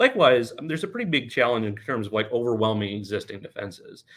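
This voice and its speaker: Speaking at a very fast pace, a man uses a medium pitch with lively intonation. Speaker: conference speaker on drone security. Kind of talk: conference presentation.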